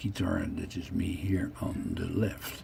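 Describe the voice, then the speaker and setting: Speech comes at a very slow pace, with audible echo from the room. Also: man. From Netherlands, The Hague. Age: 60s. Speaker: vlogger telling his life story. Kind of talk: narrating own photos. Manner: casual, halting.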